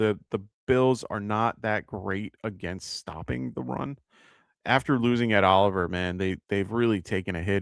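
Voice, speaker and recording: On a very clean recording with a silent background and a dry, close sound with no echo, a man speaks with an American accent. His fairly low voice moves at a fairly slow pace with lively intonation. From New York. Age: 40s. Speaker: fantasy football podcast host. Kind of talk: live advice show answering chat questions. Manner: casual, many filler words.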